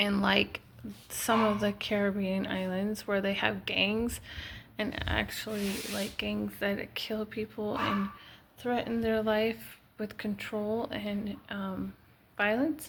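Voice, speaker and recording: Speaking very slowly, a woman keeps a medium pitch with monotone, flat intonation. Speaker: wellness vlogger. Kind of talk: casual solo talk to camera. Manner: hesitant with fillers; soft-spoken, quiet.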